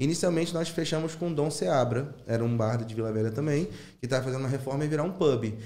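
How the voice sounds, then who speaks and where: A man's dark, mellow voice at a fairly quick pace, with ordinary pitch variation and audible room echo. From Rio de Janeiro (São Cristóvão). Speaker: former teacher turned stand-up comedian. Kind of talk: casual chat.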